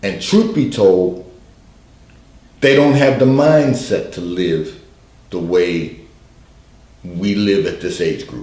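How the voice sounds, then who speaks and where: A man with a fairly low pitch and a dark, mellow, somewhat breathy tone speaks at a very slow pace, leaving long, frequent pauses. His pitch swings very widely and his loudness shifts a lot, with audible room echo around him. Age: 60s. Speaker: pastor giving advice on call-in show. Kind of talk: advice broadcast monologue. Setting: livestream broadcast.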